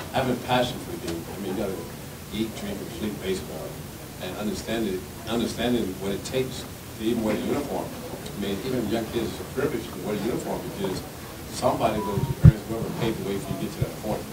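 Loud background noise surrounds a man who speaks at a very fast pace with ordinary pitch variation. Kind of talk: interview answer. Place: meeting room. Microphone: podium.

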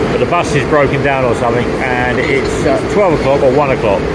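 Loud background noise fills the recording. Through it, a man talks. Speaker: travel vlogger. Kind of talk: casual vlog chat. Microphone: phone near.

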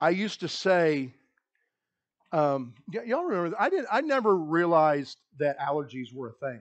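This is a normal speaking voice, from a man with a fairly high pitch and lively intonation. He talks at a moderate pace against a quiet background. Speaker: pastor. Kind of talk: sermon. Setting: church. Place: church.

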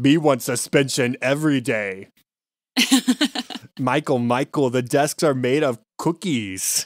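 A man does a put-on character voice at a medium pitch and fairly slow pace, with long, frequent pauses, on a very clean recording with a silent background. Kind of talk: broken baby-talk grammar. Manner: comical, playful.

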